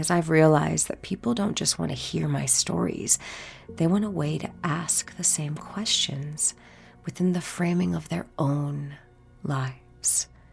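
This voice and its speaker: Noticeable background noise is present as a woman talks at a fairly slow speed. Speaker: podcast host and life coach. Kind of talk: personal reflective monologue. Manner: expressive, trained performer delivery; candid, conversational.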